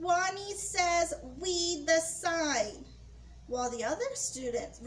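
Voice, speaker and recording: Using a put-on character voice, a woman speaks in a squeaky, extremely high pitch at a very slow pace. Clear background noise can be heard. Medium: read story.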